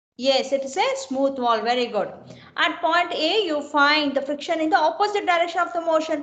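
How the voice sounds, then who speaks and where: A woman speaks at an extremely high pitch with ordinary pitch variation. The room echo is audible. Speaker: engineering lecturer. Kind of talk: online lecture. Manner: slow; repetitive, questioning students.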